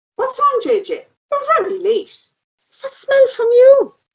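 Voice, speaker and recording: Using a squeaky put-on character voice, a woman speaks at an extremely high pitch and a fairly slow pace, with big swings in loudness. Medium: audio drama. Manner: dry, sarcastic.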